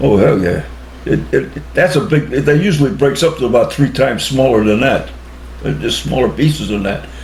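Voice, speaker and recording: Noticeable background noise sits behind a man speaking. He has an American accent and a moderate pace. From Cheshire, Connecticut, USA. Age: 80s+. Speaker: war veteran. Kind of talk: interview answer.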